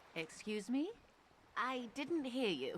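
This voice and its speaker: In a husky, put-on character voice, a woman speaks at a high pitch with very wide pitch swings. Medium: video game. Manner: polite, friendly.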